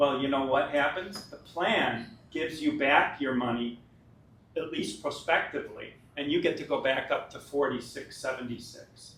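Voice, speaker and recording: Audible room echo follows a man whose fairly high pitch and fairly even intonation come at a moderate pace. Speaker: pension fund administrator. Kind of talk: presentation to union members.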